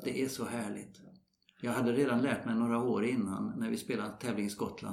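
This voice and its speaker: With vocal fry and fairly even intonation, a man speaks at a medium pitch and a fairly quick pace. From Sweden. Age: 70s. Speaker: retired golf professional. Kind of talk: interview. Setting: golf club.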